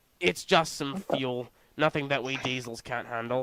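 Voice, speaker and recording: A man's gruff, put-on character voice at medium pitch and a moderate pace. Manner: grumpy, gruff.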